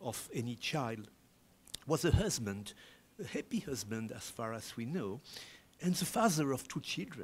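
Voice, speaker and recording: With a French accent, a man speaks in a somewhat breathy voice with lively intonation. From France. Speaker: independent historian; conference presenter. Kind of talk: academic conference presentation. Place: hall. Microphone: podium.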